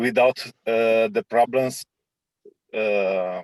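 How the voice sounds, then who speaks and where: A man speaks with a Romanian accent at a medium pitch. His intonation is fairly even, and the sound is dry and close with no echo. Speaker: meeting participant. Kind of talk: group video call discussion. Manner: halting. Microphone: poor audio.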